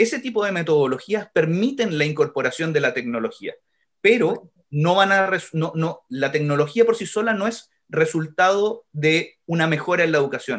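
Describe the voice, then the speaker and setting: A high-pitched man with a Chilean accent and lively intonation. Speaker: education technology organization director. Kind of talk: podcast interview. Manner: fast.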